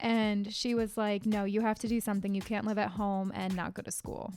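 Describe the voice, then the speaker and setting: With monotone, flat intonation, a woman talks on a very clean recording with a silent background. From US Northeast, Connecticut. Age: 20s. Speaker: podcast host, life coach and hairdresser. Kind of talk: casual solo podcast monologue. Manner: casual, with many fillers.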